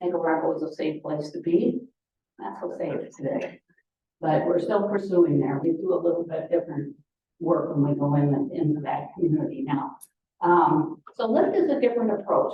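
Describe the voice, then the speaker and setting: With lively intonation, a woman talks in a somewhat breathy voice at a fairly low pitch. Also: moderate pace. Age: 80s+. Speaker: Rotary club speaker. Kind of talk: presentation to a club meeting. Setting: meeting room with microphone and Zoom audience. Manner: casual, rambling with fillers.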